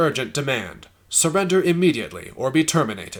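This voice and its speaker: A man puts on a character voice, talking at a fairly quick pace in a fairly high pitch. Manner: urgent, commanding.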